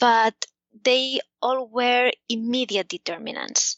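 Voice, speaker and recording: A woman with a Spanish accent speaks at a high pitch. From Spain. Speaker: economics professor. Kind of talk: interview. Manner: hesitant, many fillers.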